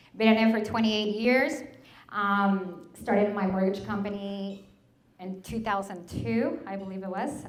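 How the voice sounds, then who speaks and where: A woman speaks with a Spanish accent at a fairly slow pace and a medium pitch. Her intonation is fairly even, and room echo is audible. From Mexico. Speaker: mortgage broker and business owner. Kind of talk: presentation to an audience.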